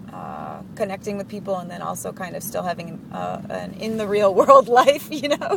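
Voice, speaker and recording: A woman speaks at a moderate pace with hardly any pauses and big swings in loudness, amid noticeable background noise. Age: 30s. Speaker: video channel owner. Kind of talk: casual chat.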